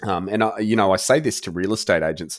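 A man speaks at a moderate pace with an Australian accent and ordinary pitch variation. The recording is very clean, with a silent background. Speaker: virtual tour and rendering business owner, former builder. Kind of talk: interview.

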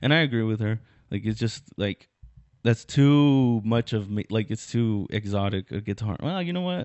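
A man talks in a normal speaking voice. His pace is moderate and his intonation lively. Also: medium pitch for a man. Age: 20s. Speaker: comedian and podcast host. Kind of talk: casual chat.

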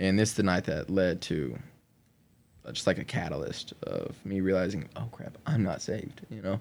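A man with a very deep, low pitch speaks at a moderate pace, using lively intonation and vocal fry. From Oklahoma, US (Lawton). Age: 20s. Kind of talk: testimony. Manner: casual, conversational.

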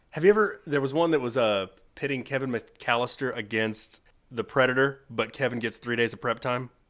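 A man's ordinary speaking voice, medium-pitched, at a fairly quick pace with ordinary pitch variation. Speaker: podcast host. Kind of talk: casual chat.

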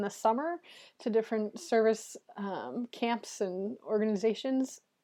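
At a moderate pace, a woman with an American accent and a fairly high pitch speaks in an unremarkable speaking voice against a quiet background. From Minnesota. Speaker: campus minister. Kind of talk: interview.

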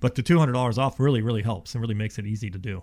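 Talking at a very fast pace, a man with an American accent sounds somewhat breathy on a very clean recording with a silent background. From Ohio, then Houston, Texas from age 12. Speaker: insulation company representative. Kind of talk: sales-oriented radio interview. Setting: radio studio. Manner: casual, conversational with filler words.

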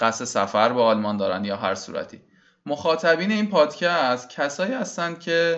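At a moderate pace, a man with a fairly high pitch talks with very wide pitch swings. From Iran. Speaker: podcast host. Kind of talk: solo podcast introduction.

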